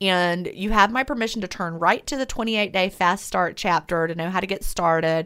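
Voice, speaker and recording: On a very clean recording with a silent background, a woman talks at a moderate pace in a bright, sharp tone, with medium pitch and ordinary pitch variation. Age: 50s. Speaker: author on intermittent fasting. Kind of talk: interview.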